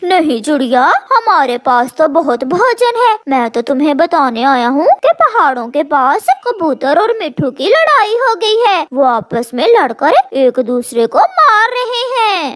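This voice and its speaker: In a cartoonish character voice, the speaker goes fairly slowly at a high pitch with very wide pitch swings and hardly any pauses. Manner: crafty, threatening.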